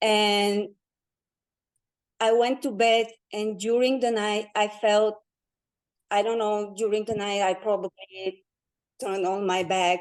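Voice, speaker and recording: A woman speaks at a fairly slow pace with long, frequent pauses. Her medium-pitched voice is monotone and flat. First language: not English. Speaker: guest sharing personal experience. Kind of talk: testimony. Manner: halting.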